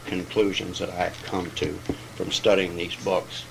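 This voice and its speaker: A man with a very deep, low voice speaks at a moderate pace in a flat monotone. The room echoes audibly, and background noise is noticeable. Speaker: AA step study speaker, recovering alcoholic. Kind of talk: lecture.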